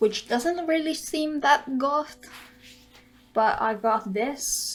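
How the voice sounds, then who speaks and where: Someone with a non-native accent speaks at a very slow pace with lively intonation. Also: woman, high pitch for a woman. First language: not English. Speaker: beauty vlogger. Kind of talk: casual tutorial vlog.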